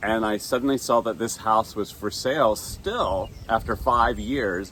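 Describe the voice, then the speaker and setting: Using vocal fry, a man with an American accent speaks slowly at a medium pitch, his intonation fairly even. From US South, Atlanta, Georgia. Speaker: gardening YouTuber. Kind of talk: casual Q&A chat.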